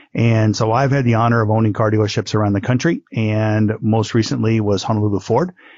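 A man's ordinary speaking voice with an American accent, fairly low in pitch, at a fairly quick pace with hardly any pauses, very even loudness and fairly even intonation. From US Midwest. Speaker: businessman, former car dealership owner. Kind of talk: interview.

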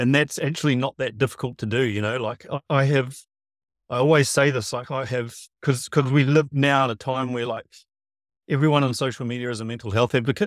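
Speaking fairly quickly in a New Zealand accent, a man keeps a medium pitch and fairly even intonation, with a dry, close sound and no echo. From New Zealand, west Auckland. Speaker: performance trainer. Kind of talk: casual interview chat. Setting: video call from a camper van.

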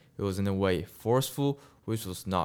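A man with a non-native accent, fairly low in pitch with ordinary pitch variation, at a moderate pace on a very clean recording with a silent background. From Malaysia. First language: not English. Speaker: university student and filmmaker. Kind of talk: casual interview.

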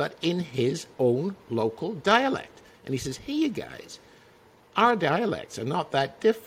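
Using very wide pitch swings and vocal fry, a man talks at a fairly slow pace in a Dutch accent. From Netherlands, province of Utrecht. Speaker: magazine publisher. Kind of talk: casual chat.

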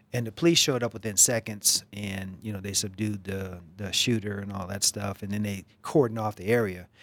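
A man with an American accent, fairly low in pitch and fairly quick, with hardly any pauses, fairly even intonation, big swings in loudness, and a very clean recording with a silent background. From US East Coast. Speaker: congressional candidate. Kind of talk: political interview. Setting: studio.

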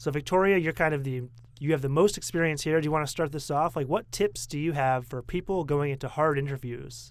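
An unremarkable speaking voice, this man's American-accented speech comes at a fairly quick pace and fairly high pitch with ordinary pitch variation on a very clean recording with a silent background. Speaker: podcast host. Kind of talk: casual chat.

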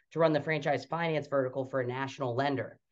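A man speaks at a fairly high pitch. His intonation stays fairly even. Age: young. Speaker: franchise development executive. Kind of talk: interview.

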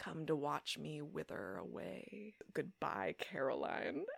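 In a raspy, put-on character voice, the speaker talks at a fairly slow pace in a low-to-middle pitch. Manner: dramatic, mournful farewell.

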